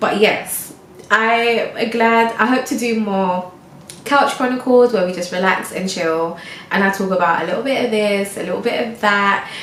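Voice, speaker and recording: Her pitch is fairly high, and she speaks at a moderate pace with ordinary pitch variation. Audible room echo and noticeable background noise surround the woman's voice. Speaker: lifestyle vlogger. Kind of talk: casual chat monologue. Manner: stumbling over words; relaxed.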